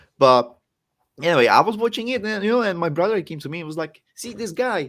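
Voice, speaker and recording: With a Czech accent, a man talks at a very fast pace in a high voice, with very wide pitch swings and big swings in loudness, in a very clean recording with a silent background. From Czech Republic. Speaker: professional wrestler. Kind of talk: podcast interview.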